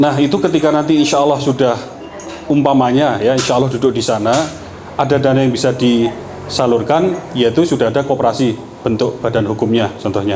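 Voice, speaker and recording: Very fast speech in a Yogyakarta accent at very even loudness, with noticeable background noise and audible room echo. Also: man, medium pitch for a man, ordinary pitch variation. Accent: Javanese Yogyakarta. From Indonesia, Yogyakarta. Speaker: politician. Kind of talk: campaign talk to local women's group. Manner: conversational, informal.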